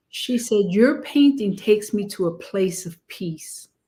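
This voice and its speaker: A woman speaks at a very slow pace in a somewhat breathy voice, with medium pitch and ordinary pitch variation. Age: 70s. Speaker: pastor and painter. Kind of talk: casual chat.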